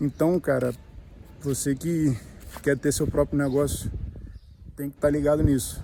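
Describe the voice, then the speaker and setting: A man's fairly high pitch stays monotone and flat. He keeps to a moderate pace. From Brazil, Rio de Janeiro. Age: 30s. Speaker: vlogger, small business owner. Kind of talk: casual vlog talk to camera. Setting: outdoors at the beach. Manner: slightly halting, nervous first video.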